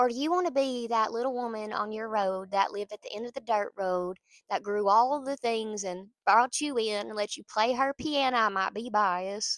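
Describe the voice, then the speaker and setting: With a Southern US accent, a woman talks at a moderate pace with big swings in loudness and ordinary pitch variation, in a dry, close sound with no echo. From US South, small town. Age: 30s. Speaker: pastor. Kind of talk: casual encouragement talk. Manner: animated.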